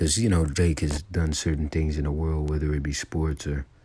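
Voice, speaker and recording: Quietly and at a moderate pace, a man speaks in a very deep, low, somewhat breathy voice. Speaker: religious teacher. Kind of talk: religious lesson. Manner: quiet, low volume; halting.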